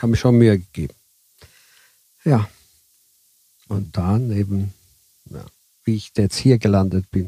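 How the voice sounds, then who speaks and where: A man with a dark, mellow tone and fairly low pitch speaks at a fairly slow pace, with long, frequent pauses, big swings in loudness, and a dry, close sound with no echo. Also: ordinary pitch variation. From southern Italy, raised in Switzerland until age 11. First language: Italian (speaking German). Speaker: bus driver. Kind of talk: interview.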